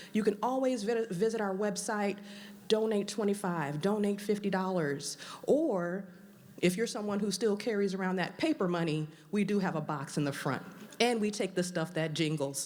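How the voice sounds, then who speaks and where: A woman with an American accent talks in an animated tone at medium pitch and a moderate pace, with ordinary pitch variation. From US South, New Orleans. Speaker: event emcee. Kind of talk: event announcements to live audience.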